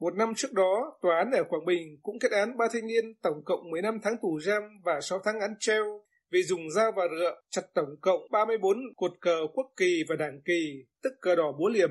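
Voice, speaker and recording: A man talks at a high pitch with ordinary pitch variation. He keeps a moderate pace with hardly any pauses. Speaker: news reader. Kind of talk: news reading.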